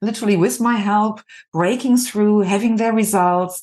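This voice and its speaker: In a German accent, a woman speaks with ordinary pitch variation against a quiet background. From Germany (Düsseldorf). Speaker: executive coach and artist. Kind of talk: podcast interview.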